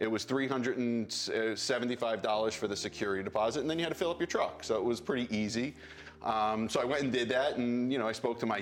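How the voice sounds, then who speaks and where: A man with an American accent at medium pitch, talking at a very fast pace with hardly any pauses and very even loudness over background music. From New York. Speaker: real estate entrepreneur. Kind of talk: interview. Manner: halting.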